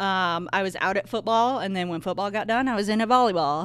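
With a Midwestern American accent, the speaker uses lively intonation on a very clean recording with a silent background. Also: woman. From northern Indiana. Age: 40s. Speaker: high school athletic trainer. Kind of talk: casual chat. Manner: laughs often.

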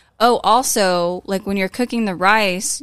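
A woman's normal speaking voice at a medium pitch with ordinary pitch variation, on a very clean recording with a silent background. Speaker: guest, partner of host. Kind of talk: casual chat.

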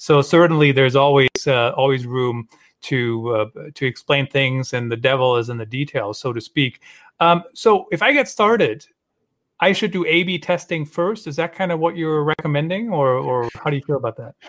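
A man with a Western European accent, fairly high in pitch, lively in intonation, at a moderate pace. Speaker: podcast host. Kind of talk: live-streamed interview chat. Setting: live video stream from a studio.

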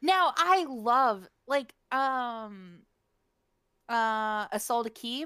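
In an American accent, the speaker goes at a very slow pace with long, frequent pauses and a bright, sharp tone. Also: woman, high pitch for a woman. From West Virginia. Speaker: podcast co-host. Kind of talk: casual chat.

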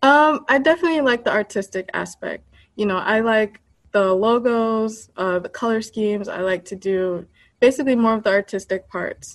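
A woman with an American accent has a plain, everyday voice, a fairly high pitch, ordinary pitch variation and a moderate pace. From United States, Haitian American family. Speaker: app creator. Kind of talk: interview.

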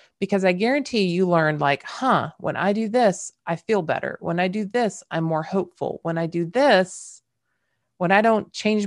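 Ordinary pitch variation with a slight Southern US accent. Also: woman. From California. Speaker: podcast host, leadership coach. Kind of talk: solo podcast monologue, conversational.

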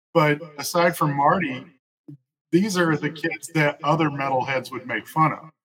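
This man talks at a moderate pace with a Southern US accent, and his pitch sits fairly high. His loudness swings a lot while his intonation stays fairly even. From West Tennessee (Jackson). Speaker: comic book artist. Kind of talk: casual interview.

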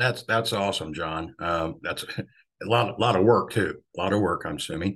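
A man with a plain, everyday voice speaks at a moderate pace, fairly low in pitch with ordinary pitch variation. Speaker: podcast host. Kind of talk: interview.

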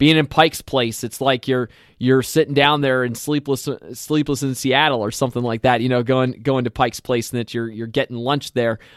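In an American accent, a man with an unremarkable speaking voice talks at a moderate pace, with medium pitch and fairly even intonation, on a very clean recording with a silent background and a dry, close sound with no echo. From Lancaster County, Pennsylvania. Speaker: movie podcast co-host. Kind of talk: casual banter podcast chat about movies.

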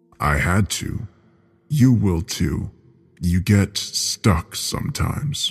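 A man's put-on character voice, low-pitched with a slightly husky edge and big pitch swings, at a very slow pace over faint background music

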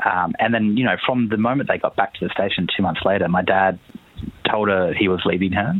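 Over noticeable background noise, a man with an Australian accent speaks at a fairly quick pace in a fairly low voice, with ordinary pitch variation and very even loudness. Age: 30s. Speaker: journalist and author. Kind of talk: interview.

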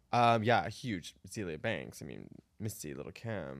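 At a moderate pace, a man with a fairly low pitch and vocal fry swings his pitch very widely. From Arizona. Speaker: drag performer. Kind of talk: casual chat.

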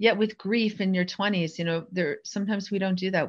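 With an American accent and a plain, everyday voice, a woman talks at a fairly quick pace with ordinary pitch variation over a quiet background. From New Jersey. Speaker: mentor and former lawyer. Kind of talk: interview.

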